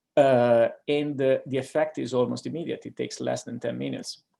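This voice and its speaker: A man with an Italian accent, speaking at a moderate pace. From Italy. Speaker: neurologist. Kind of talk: lecture. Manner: hesitant, frequent fillers.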